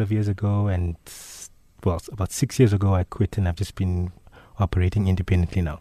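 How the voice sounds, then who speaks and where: A man's voice, dark and mellow in tone, is recorded dry and close with no echo. The recording is very clean, with a silent background. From Zimbabwe, Bulawayo. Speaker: illustrator. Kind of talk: radio interview. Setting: radio studio.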